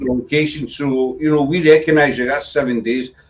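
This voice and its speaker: This man speaks with a Scottish accent. His voice sits fairly high in pitch. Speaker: paranormal livestream host. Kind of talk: casual livestream hosting.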